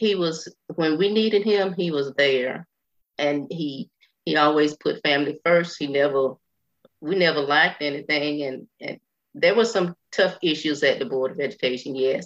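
A woman's very deep, low voice with a Southern US accent, at a moderate pace with ordinary pitch variation. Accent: Southern US (Georgia). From US South, Burke County, Georgia. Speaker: retired school employee, widow of a commissioner. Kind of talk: radio interview.

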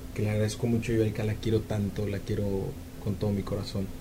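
A man's fairly low, monotone, flat voice with audible room echo. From Mexico, Jalisco (Ameca). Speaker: radio announcer and singer. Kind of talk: interview. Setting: studio.

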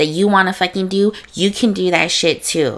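At a moderate pace, a woman speaks with medium pitch. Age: 20s. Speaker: podcast host. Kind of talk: casual solo monologue. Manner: animated.

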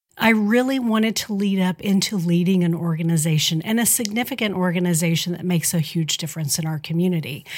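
A woman speaks with an American accent in a normal speaking voice. Her pitch is medium with ordinary variation, and her pace is fairly quick. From southern Indiana (tri-state area). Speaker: nonprofit executive, former TV news personality. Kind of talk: interview.

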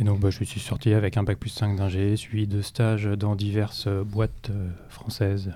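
Speaking at a fairly slow pace, a man has a fairly low, dark, mellow voice with flat, monotone intonation. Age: 40s. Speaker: IT security specialist at a bank. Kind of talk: interview.

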